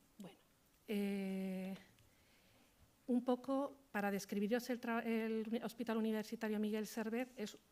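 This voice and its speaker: Soft-spoken, a woman talks at a very slow pace. Her intonation is fairly even. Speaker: hospital social work manager. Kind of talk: conference talk. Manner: halting.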